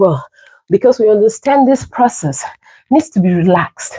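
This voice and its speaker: A woman with a dark, mellow, somewhat breathy tone talks at a moderate pace with lively intonation. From Cameroon. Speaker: fitness livestreamer. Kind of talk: live stream chat during workout. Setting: livestream. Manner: animated.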